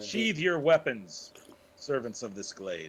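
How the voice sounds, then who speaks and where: Put on for effect, this character voice makes very wide pitch swings. The pace is fairly slow. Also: man, medium pitch for a man. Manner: commanding, authoritative.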